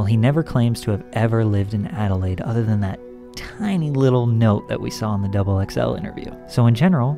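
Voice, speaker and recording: Clear music plays in the background as a man talks. His pace is very fast, and his pitch variation is ordinary. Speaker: YouTube commentator. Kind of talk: commentary. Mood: skeptical, slightly sarcastic. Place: home room.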